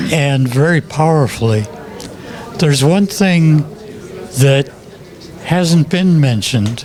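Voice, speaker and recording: Over crowd noise and audible room echo, a man speaks at a fairly high pitch with ordinary pitch variation. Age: 80s+. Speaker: film ship designer and author. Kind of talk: interview. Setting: comic shop event. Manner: halting.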